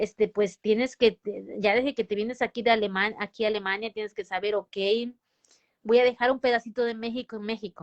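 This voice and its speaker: The delivery is fairly quick and monotone with flat intonation, the sound dry and close with no echo. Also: woman, fairly high pitch for a woman. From Mexico. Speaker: nurse. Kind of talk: interview. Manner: halting, many false starts and fillers.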